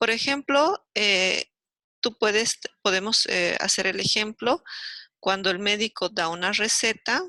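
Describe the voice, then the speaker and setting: A woman at a medium pitch and fairly slow pace, with vocal fry, a bright, sharp tone, ordinary pitch variation and a dry, close sound with no echo. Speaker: university lecturer. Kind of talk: lecture. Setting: video call. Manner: animated.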